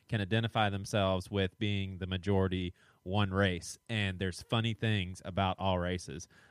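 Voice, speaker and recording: This man has a Southern US accent. His pitch is fairly low. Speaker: podcast co-host. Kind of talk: casual chat.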